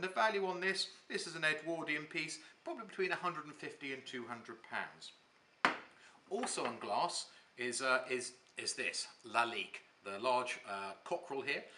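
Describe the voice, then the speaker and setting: Over noticeable background noise, a man speaks at a moderate pace. His pitch is fairly high and his intonation lively. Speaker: auctioneer. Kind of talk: auction saleroom walk-through presentation. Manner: friendly, conversational.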